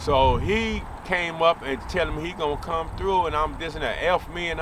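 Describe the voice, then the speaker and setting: At a moderate pace, a man speaks at a high pitch, with noticeable background noise and audible room echo. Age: 60s. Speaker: former street fighter. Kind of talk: interview storytelling.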